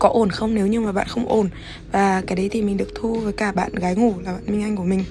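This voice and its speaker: Over noticeable background noise, a woman with a medium pitch rushes at a very fast pace in a monotone, flat intonation. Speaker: podcast host. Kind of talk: casual monologue.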